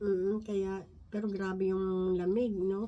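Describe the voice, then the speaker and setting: At a fairly slow pace, a woman talks in a medium-pitched voice with a dark, mellow tone. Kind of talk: Bible study talk. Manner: halting.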